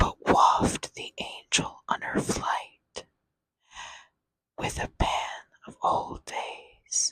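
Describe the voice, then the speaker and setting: A woman whispering at a very slow pace. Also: dry, close sound with no echo. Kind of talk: poetry reading. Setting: close-up microphone. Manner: whispered; slow, soft-spoken.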